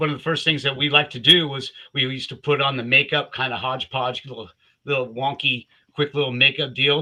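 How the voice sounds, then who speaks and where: A man with an American accent speaks at a fairly quick pace, his pitch fairly high and his tone bright and sharp. His intonation stays fairly even over a quiet background. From US West Coast, Southern California. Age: 60s. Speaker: Army veteran and Kiss fan. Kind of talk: casual storytelling on a livestream. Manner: halting, many repeated words.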